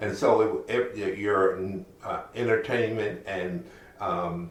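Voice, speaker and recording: A man with an American accent, fairly low in pitch, at a very slow pace, with ordinary pitch variation and audible room echo. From Philadelphia, US Northeast. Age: 80s+. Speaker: former state legislator. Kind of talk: oral history interview. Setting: at his home. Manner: halting, with repeated words.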